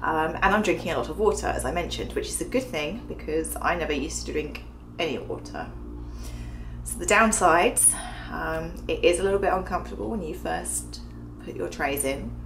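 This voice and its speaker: A woman talks at a fairly quick pace, her voice carrying audible room echo over music playing in the background. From England. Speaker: video blogger. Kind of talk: personal video diary. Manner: casual, many filler ums.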